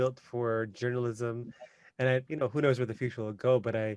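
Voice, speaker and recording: In a plain, everyday voice with a Canadian accent, a man talks at a fairly quick pace and a medium pitch. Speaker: podcast host. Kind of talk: casual interview chat.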